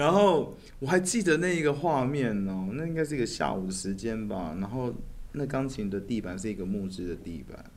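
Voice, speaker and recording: A man with a Taiwanese accent speaks at a medium pitch and a fairly quick pace. His pitch swings are very wide. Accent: Taiwanese Mandarin. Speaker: musician and a cappella singer. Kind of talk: casual interview chat.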